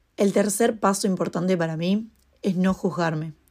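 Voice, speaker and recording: At a fairly slow pace, a woman talks in a medium pitch over a very clean recording with a silent background. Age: 20s. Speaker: podcast host and freelance model. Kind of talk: casual solo monologue.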